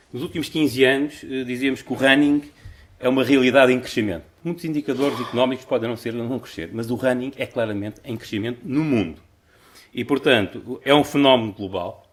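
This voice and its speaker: Fairly quick speech comes from a man with an ordinary speaking voice. Medium in pitch, he shows ordinary pitch variation. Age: 60s. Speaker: conference speaker, amateur marathon runner. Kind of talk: conference talk.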